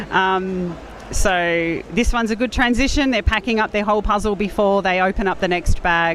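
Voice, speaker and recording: With an Australian accent, a woman speaks at a moderate pace and medium pitch, with ordinary pitch variation and very even loudness. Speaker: speed puzzling content creator and competitor. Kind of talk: live commentary interview.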